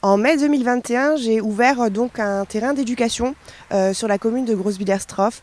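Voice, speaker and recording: A woman talks at a moderate pace in a fairly high pitch. Her pitch variation is ordinary. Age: 20s. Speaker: dog behaviourist and trainer. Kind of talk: interview monologue. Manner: hesitant, many fillers.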